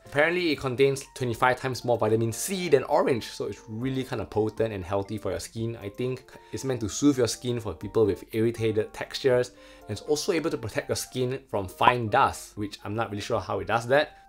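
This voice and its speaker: With faint music in the background, a man speaks at a fairly quick pace with hardly any pauses and ordinary pitch variation. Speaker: skincare reviewer. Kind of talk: product review vlog. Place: home room. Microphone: phone near.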